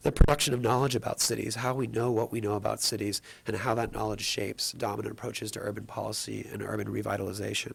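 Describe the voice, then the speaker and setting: A man talks very fast in a fairly low voice with vocal fry. His intonation stays fairly even. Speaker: anthropologist. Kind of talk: panel talk. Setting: public panel with audience.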